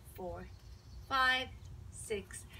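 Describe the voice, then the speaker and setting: There is light background noise behind this woman's voice. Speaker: fitness instructor. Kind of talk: exercise class instruction and counting. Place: garden. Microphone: camera far.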